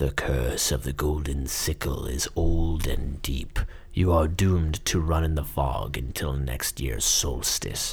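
A man whispers in a put-on character voice at a fairly slow pace. Noticeable background noise runs underneath. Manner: ominous.

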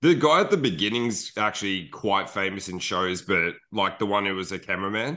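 A man with an Australian accent, fairly low pitch and a bright, sharp tone, at a moderate pace with ordinary pitch variation over a quiet background. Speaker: podcast host. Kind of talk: casual chat.

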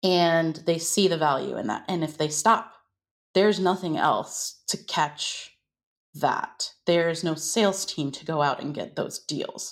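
With a plain, everyday voice, a woman with an American accent speaks at a fairly slow pace in a fairly low pitch with ordinary pitch variation, on a very clean recording with a silent background. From United States. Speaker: growth marketing consultant. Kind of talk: podcast interview.

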